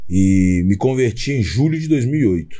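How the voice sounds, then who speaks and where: A dark, mellow tone defines this man's voice. It also carries a somewhat breathy sound. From Brazil, Belo Horizonte (Minas Gerais). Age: 40s. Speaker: gospel rapper. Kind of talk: podcast interview, testimony.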